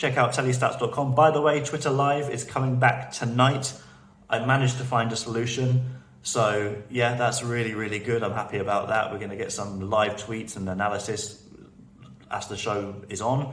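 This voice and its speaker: With a British accent and a medium pitch, a man speaks amid audible room echo and noticeable background noise. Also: ordinary pitch variation, moderate pace. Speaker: TV betting analyst, video blogger. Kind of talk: casual video commentary. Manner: halting, repeated words.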